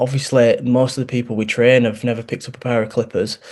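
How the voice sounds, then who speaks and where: The voice carries a strong Yorkshire accent. Its intonation is flat and monotone. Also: man. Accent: thick Yorkshire. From Yorkshire, northern England. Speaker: barbering course founder and barber. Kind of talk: interview.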